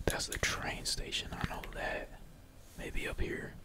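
Whispering at a fairly slow pace, a man talks over noticeable background noise. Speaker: gaming streamer / ASMR gamer. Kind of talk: casual talk to camera, gameplay commentary. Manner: casual, slangy, energetic.

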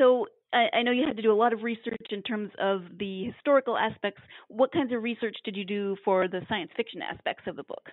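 A woman with a fairly high pitch uses an ordinary speaking voice, with ordinary pitch variation. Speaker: podcast host. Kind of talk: interview.

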